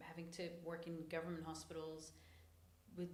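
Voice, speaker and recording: Audible room echo surrounds a woman with an American accent and a fairly low pitch. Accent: soft American. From New York, US, then UK. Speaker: podcast co-host, physiotherapist and business owner. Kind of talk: casual podcast conversation.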